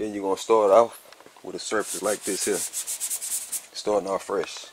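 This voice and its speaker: The sound is dry with no echo as a man talks in a fairly low pitch. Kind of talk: tutorial. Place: garage. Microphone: phone near.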